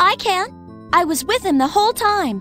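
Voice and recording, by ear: Clear music plays behind a cartoonish character voice at an extremely high pitch, moving at a moderate pace.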